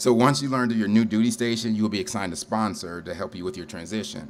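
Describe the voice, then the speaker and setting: A man speaks at a fairly quick pace with an American accent, using a plain, everyday voice at a medium pitch with lively intonation. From Ohio, Cleveland area. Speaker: storyteller, military veteran. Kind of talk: live storytelling performance. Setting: stage with audience at a brewery.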